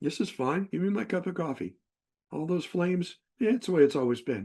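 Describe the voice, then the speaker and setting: Dark and mellow in tone, a man's voice moves through very wide pitch swings. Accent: American. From Texas, Fort Worth area. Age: 70s. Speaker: retired psychologist and herp naturalist. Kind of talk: presentation with slides. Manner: halting, many fillers and restarts.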